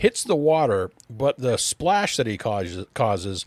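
Just a natural reading voice

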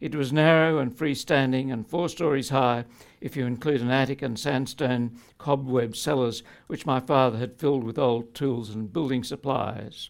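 Speaking at a moderate pace, a man with an Australian accent keeps his intonation fairly even. The recording is very clean with a silent background. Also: medium pitch for a man. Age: 70s. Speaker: poet and tax lawyer. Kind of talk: speech with reading aloud. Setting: stage with audience.

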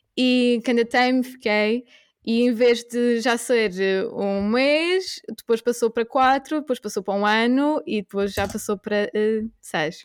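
This is an ordinary speaking voice: a woman with a fairly high pitch, ordinary pitch variation and a fairly slow pace. The recording is very clean with a silent background, and the sound is dry and close with no echo. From Portugal. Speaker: veterinary graduate turned coworking host. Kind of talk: casual interview chat.

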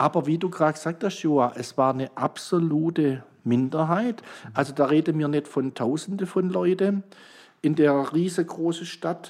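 With a normal speaking voice, a man speaks at a moderate pace, his fairly high pitch showing ordinary variation. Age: 60s. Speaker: pastor. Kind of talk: casual chat.

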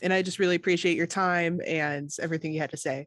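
Against a quiet background, a plain, everyday voice speaks with ordinary pitch variation. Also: woman. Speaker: podcast host. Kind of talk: interview.

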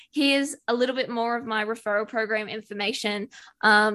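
Against a quiet background, a woman with an Australian accent speaks at a moderate pace with a bright, sharp tone, fairly high pitch and ordinary pitch variation. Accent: Australian, noticeable. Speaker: business productivity expert and virtual assistant. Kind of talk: interview conversation.

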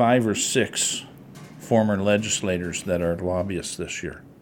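With an unremarkable speaking voice, a man talks at a moderate pace with ordinary pitch variation. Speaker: legislator. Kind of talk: roundtable discussion.

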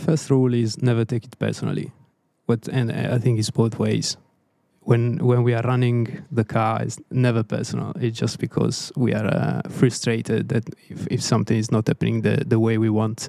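A man with an Italian accent speaks in a dark, mellow tone with fairly even intonation. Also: medium pitch for a man, moderate pace. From Italy, Tuscany. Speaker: race engineer. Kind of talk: casual chat.

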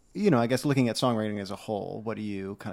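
There is a silent background and a very clean recording. In it, a man talks with fairly even intonation. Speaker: podcast host. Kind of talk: casual podcast chat.

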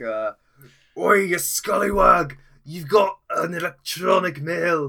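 Putting on a raspy character voice, a man talks at a high pitch and a very slow pace. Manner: yelling, boisterous.

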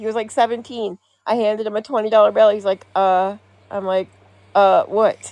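A woman talks at a fairly quick pace in a normal speaking voice. Her pitch sits fairly high with fairly even intonation. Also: dry, close sound with no echo. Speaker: podcaster. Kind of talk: casual chat.

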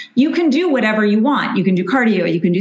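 A woman speaks at a very fast pace and medium pitch. Noticeable background noise runs behind her. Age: 50s. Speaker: registered dietitian. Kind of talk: interview.

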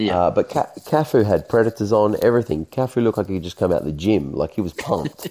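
Speaking very fast with hardly any pauses, a man with an Australian accent has a fairly low pitch, a dark, mellow tone and very wide pitch swings. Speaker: street footballer. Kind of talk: casual chat.

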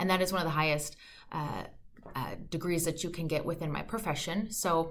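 A woman speaks with an American accent at a fairly low pitch. The room echo is audible. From Minnesota, US Midwest. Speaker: podcast host, financial advisor. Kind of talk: podcast monologue.

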